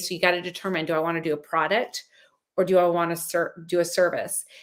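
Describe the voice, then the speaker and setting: Speaking at a fairly quick pace, a woman uses a fairly low pitch. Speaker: life and business coach. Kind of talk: online mini course talk. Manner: fast; animated.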